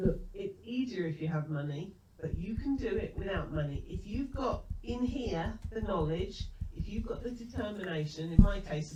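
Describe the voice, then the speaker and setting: A woman speaks at a moderate pace with audible room echo and noticeable background noise. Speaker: business trainer. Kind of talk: webinar presentation. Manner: calm.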